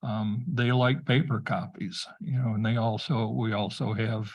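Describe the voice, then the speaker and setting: Against a quiet background, a somewhat breathy man talks at medium pitch and a fairly slow pace. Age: 70s. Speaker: township committee member. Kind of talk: public meeting discussion.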